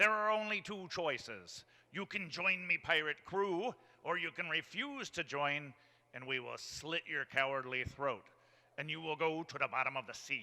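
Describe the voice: A man puts on a character voice with a bright, sharp tone and a fairly high pitch. He delivers it at a fairly slow pace with lively intonation.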